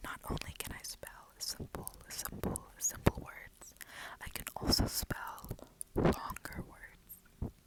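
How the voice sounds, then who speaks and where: A woman whispering in a calm tone at a very slow pace, with big swings in loudness over noticeable background noise. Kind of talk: ASMR video. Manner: whispered; quiet, calm.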